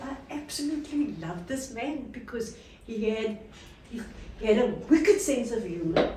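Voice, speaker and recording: Her high-pitched voice swings very widely in pitch as the woman speaks with audible room echo. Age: 80s+. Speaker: tour guide and former government official. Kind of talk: storytelling talk to a tour group.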